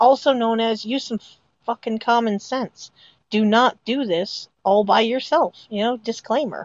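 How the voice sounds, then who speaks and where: Using an ordinary speaking voice, a woman with a fairly high pitch and an American accent speaks at a fairly slow pace with ordinary pitch variation. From northern US. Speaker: podcast co-host. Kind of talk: casual chat.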